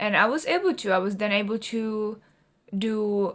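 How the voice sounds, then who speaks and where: A woman speaks with a Czech accent. Her pitch is medium. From Czech Republic. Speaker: artist and vlogger. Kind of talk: personal vlog talk.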